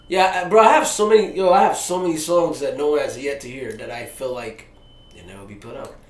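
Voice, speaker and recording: Talking at a very fast pace with an American accent, a man uses a high pitch, very wide pitch swings and big swings in loudness, with noticeable background noise behind him. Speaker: rapper. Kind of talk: casual interview. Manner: animated; halting.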